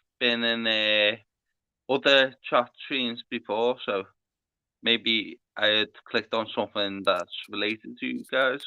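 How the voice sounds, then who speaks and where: With a Liverpool accent, a man of medium pitch talks at a fairly slow pace and with fairly even intonation. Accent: English Liverpool accent, less typical Scouse. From England, Liverpool. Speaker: livestream listener joining panel. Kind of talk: casual panel chat.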